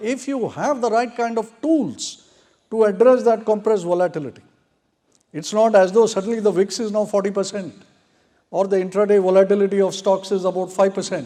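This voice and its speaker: At a fairly quick pace, a man talks in a high pitch with a dark, mellow tone. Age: 60s. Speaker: trading software designer and market veteran. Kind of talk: expo panel talk.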